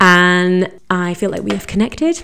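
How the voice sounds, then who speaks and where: A woman's fairly low voice, a plain, everyday voice, at a fairly slow pace with fairly even intonation. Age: 30s. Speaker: podcast host. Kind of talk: casual chat. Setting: recording intro at workplace on coffee break.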